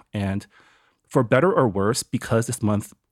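A man with a normal speaking voice and a fairly low pitch talks at a fairly quick pace with ordinary pitch variation, in a dry, close sound with no echo. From United States and Taiwan. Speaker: podcast producer. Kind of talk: panel discussion.

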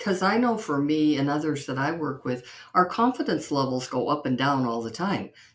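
A woman with a very deep, low pitch speaks at a moderate pace with very wide pitch swings. Background noise is noticeable. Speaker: podcast host. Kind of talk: interview conversation. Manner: enthusiastic, warm.

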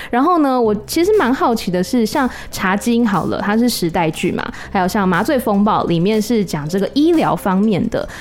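Woman with fairly high pitch and very wide pitch swings, very even loudness, a moderate pace and hardly any pauses, over noticeable background noise. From Taiwan. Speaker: podcast host. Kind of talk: interview.

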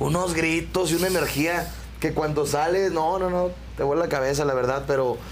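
This man speaks in a normal speaking voice at a fairly high pitch. His pace is fairly quick and his intonation fairly even. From Querétaro, Mexico. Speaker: band singer. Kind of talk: interview.

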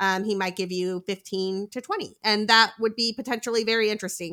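In a dry, close sound with no echo, a woman with an American accent speaks in a bright, sharp tone with fairly even intonation. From US, spent time in Boston. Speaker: fantasy baseball analyst. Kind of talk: casual chat about fantasy baseball. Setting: remote recording, Friday night.

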